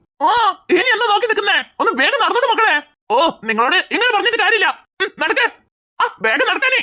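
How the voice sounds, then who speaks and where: A gruff put-on character voice, pitched extremely high and delivered at a very fast pace. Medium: cartoon. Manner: gruff, impatient.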